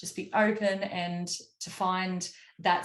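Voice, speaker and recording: A woman speaks with an Australian accent at a fairly low pitch. Her intonation is monotone and flat. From Queensland, Australia. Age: 30s. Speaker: country music singer. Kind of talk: interview.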